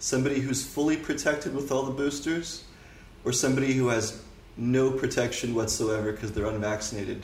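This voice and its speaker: A man with a Canadian accent talks at a fairly quick pace, his pitch medium with ordinary variation. Room echo is audible. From Canada. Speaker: political commentator. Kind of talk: casual interview.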